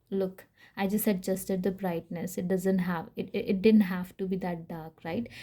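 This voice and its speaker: A somewhat breathy, dark, mellow voice with a non-native accent stays monotone and flat. The recording is very clean with a silent background. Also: woman, medium pitch for a woman, moderate pace. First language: not English. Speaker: tarot reader. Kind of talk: tarot reading. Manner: casual, hesitant with fillers.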